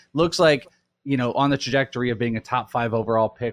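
A man with a normal speaking voice talks at medium pitch with ordinary pitch variation. The recording is very clean, with a silent background. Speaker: lead host of fantasy football podcast. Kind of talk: casual sports podcast chat.

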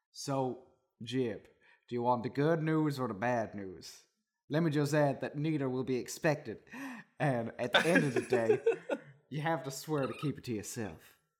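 In a put-on character voice, the speaker sounds gruff at a low-to-middle pitch, moving at a moderate pace with long, frequent pauses. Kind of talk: comic reading aloud. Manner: gruff, bossy.

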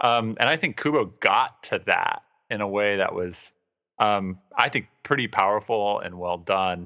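This man has a plain, everyday voice, fairly low in pitch with ordinary pitch variation, talking at a fairly slow pace in a very clean recording with a silent background. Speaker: podcast host. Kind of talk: casual chat.

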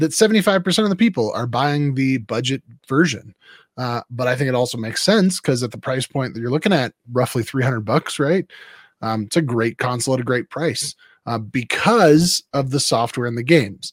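A man with an ordinary speaking voice, in a very clean recording with a silent background and a dry, close sound with no echo. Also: medium pitch for a man, fairly quick pace. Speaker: pastor and co-host. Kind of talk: casual chat.

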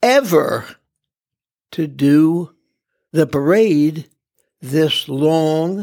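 A fairly high-pitched male voice at a very slow pace. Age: 80s+. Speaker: stadium and parade announcer. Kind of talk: interview. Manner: deliberate.

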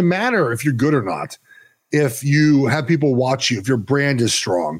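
This recording is very clean with a silent background. It features a man speaking in an American accent. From West Los Angeles, California. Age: 30s. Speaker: college football reporter. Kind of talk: casual sports chat.

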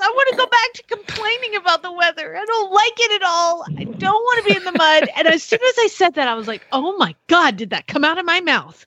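With an American accent, a woman uses a raised, projected voice of extremely high pitch and a bright, sharp tone, swinging very widely in pitch at a moderate pace, captured as a dry, close sound with no echo. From US Southwest. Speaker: horse podcast co-host. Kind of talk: casual chat. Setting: home office, remote. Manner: animated.

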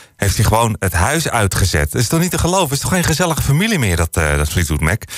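Noticeable background noise fills the clip. Over it, a man talks very fast, his pitch swinging very widely. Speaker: radio DJ. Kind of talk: radio music show presenting. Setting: studio. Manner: casual, frequent filler hesitations.

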